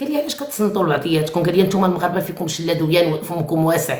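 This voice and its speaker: A woman talks very fast in an animated tone. Audible room echo can be heard. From Morocco. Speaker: live-stream host. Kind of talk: live chat with callers.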